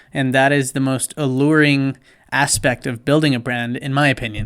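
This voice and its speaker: A man with a plain, everyday voice at medium pitch, fairly even intonation and a fairly slow pace, on a very clean recording with a silent background. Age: 20s. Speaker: business vlogger. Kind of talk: tutorial. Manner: casual, with many fillers.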